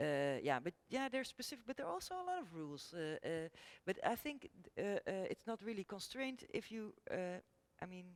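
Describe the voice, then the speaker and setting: Someone with a Dutch accent speaks at a fairly quick pace with very wide pitch swings, in a dry, close sound with no echo. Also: woman, medium pitch for a woman. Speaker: architect. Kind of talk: panel discussion. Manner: halting.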